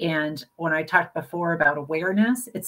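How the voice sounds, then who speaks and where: Her voice is an ordinary speaking voice, fairly low for a woman, moving at a fairly quick pace with lively intonation. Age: 60s. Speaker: brain aneurysm survivor and health advocate. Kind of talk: interview. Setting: live video stream.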